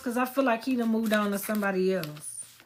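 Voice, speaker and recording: Loud and at a very fast pace, a woman talks with ordinary pitch variation. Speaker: psychic medium. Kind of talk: live stream reading. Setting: live stream.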